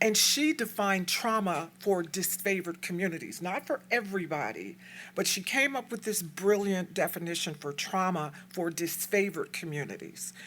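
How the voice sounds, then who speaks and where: Here a woman uses an ordinary speaking voice at medium pitch with ordinary pitch variation. The recording is very clean, with a silent background. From Texas, El Paso. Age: 60s. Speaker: community activist speaker. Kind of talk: lecture. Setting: stage with audience.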